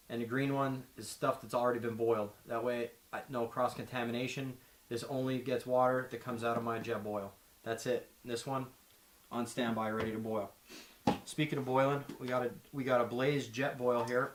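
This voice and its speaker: A man in a Pennsylvania accent, medium-pitched and monotone with flat intonation, at a moderate pace. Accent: Pennsylvania (Mid-Atlantic US). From Pennsylvania, Schuylkill Haven. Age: 30s. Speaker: outdoor gear presenter. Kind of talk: gear tutorial; casual introduction.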